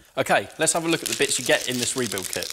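A man talks with ordinary pitch variation while noticeable background noise carries on behind him. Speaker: mechanic demonstrator. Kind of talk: tutorial. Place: workshop. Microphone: lapel.

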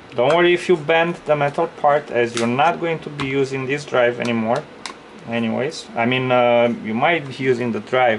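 Against light background noise, a man talks at a moderate pace with lively intonation. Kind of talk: tutorial. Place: workshop. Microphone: phone near.

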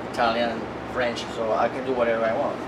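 Over loud background noise, a man speaks fast in a monotone, flat intonation at a medium pitch.

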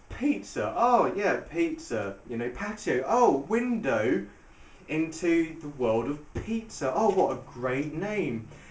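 A man speaking at a very slow pace amid audible room echo. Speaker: restaurant reviewer. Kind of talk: casual vlog chat. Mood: sarcastic, mocking. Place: home room. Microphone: camera far.

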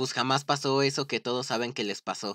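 Monotone, flat intonation from a man at medium pitch and a fairly slow pace, in a dry, close sound with no echo. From Mexico, Estado de México. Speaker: gaming streamer. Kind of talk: casual gameplay livestream chat. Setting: livestream with friend on voice chat.

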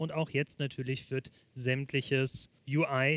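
Intonation stays monotone and flat as the man speaks, in a dry sound with no echo. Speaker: presenter. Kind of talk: tutorial. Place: studio. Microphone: headset.

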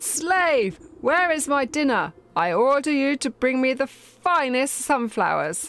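A woman puts on a character voice that is shrill and high-pitched. She delivers it at a fairly slow pace. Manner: demanding, imperious.

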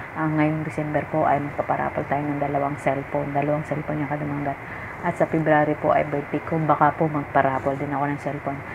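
A soft-spoken woman, very deep and low in pitch, fairly quick, monotone and flat, with noticeable background noise. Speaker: vlogger. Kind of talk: livestream talk to viewers. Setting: at home late at night, others asleep. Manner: soft-spoken, lowered voice at night. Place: home room. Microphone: phone near.

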